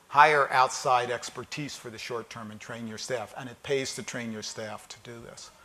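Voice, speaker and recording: Lively intonation marks this man's speech in a US East Coast accent. He talks at a moderate pace. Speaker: keynote speaker on data analytics. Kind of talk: conference keynote talk. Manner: conversational, many fillers and repetitions.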